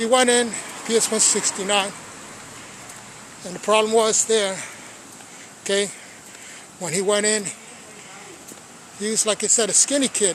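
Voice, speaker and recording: Speaking at a moderate pace with an American accent, a man with a high pitch keeps a fairly even intonation and leaves long, frequent pauses, all against noticeable background noise. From Brooklyn, New York (Sunset Park). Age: 60s. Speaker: storyteller / channel host. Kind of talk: personal storytelling monologue. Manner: casual, conversational.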